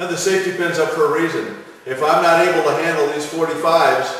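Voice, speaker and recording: A high-pitched man at a moderate pace amid strong room echo. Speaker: strength coach. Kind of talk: tutorial. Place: gym. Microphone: camera far.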